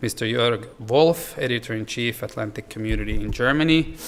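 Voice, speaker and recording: Noticeable background noise sits behind this speaker. He is a man talking at a fairly quick pace with fairly even intonation. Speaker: member of parliament, organizer. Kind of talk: formal welcome speech.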